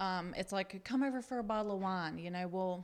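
With a Southern US accent, a woman speaks at a medium pitch and a moderate pace. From US South, upstate South Carolina. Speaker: guest sharing recovery story. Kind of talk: testimony.

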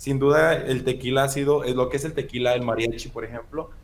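With audible room echo, a man speaks at a medium pitch and a very fast pace, his intonation fairly even. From Mexico, Michoacán (La Piedad). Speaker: podcast co-host. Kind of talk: casual chat.

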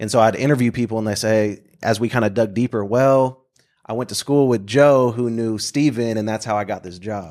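At a fairly quick pace, a man with an ordinary speaking voice and medium pitch talks in fairly even intonation. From Oklahoma, Bartlesville. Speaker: speaker and community worker. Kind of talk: casual interview chat.

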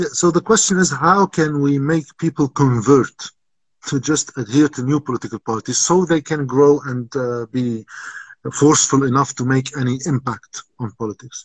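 A somewhat breathy voice in an Arabic accent, with ordinary pitch variation, a moderate pace and a dry, close sound with no echo. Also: man, fairly high pitch for a man. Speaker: political commentator. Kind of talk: interview.

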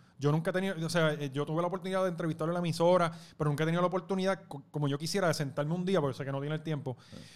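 Recorded very cleanly against a silent background, a man with a Puerto Rican accent talks at a fairly high pitch. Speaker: youtuber and former radio host. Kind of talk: casual chat.

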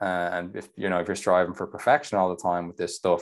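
Over a quiet background, a man with a very deep, low pitch talks at a fairly quick pace. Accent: Irish. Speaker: nutrition coach. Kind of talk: casual chat.

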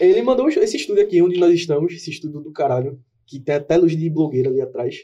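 Speaking at a very fast pace, a man has a high pitch and a dark, mellow tone. His pitch variation is ordinary, while his loudness swings widely. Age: 20s. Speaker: podcast co-host, graphic designer. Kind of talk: casual chat. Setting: studio.

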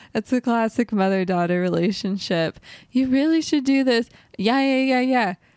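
A woman with a plain, everyday voice speaks at a fairly high pitch and a moderate pace, with lively intonation and very even loudness, in a dry, close sound with no echo and a very clean recording with a silent background. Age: 20s. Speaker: podcast co-host, musician. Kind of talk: casual chat.

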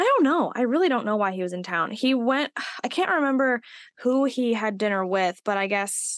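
Against a quiet background, a woman in a plain, everyday voice talks at a moderate pace with ordinary pitch variation. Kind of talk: casual chat.

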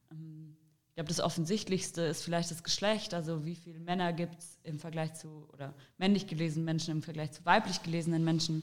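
Speaking at a fairly quick pace with hardly any pauses, a woman keeps a fairly low pitch and a monotone, flat intonation while her loudness swings widely. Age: 20s. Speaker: political candidate. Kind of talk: interview.

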